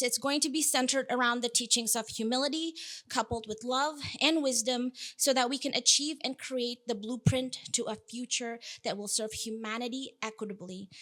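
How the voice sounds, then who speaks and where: Speaking at a fairly quick pace, a woman with an Indonesian accent has a high pitch, a bright, sharp tone, and ordinary pitch variation. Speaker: food systems researcher, keynote speaker. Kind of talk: keynote talk.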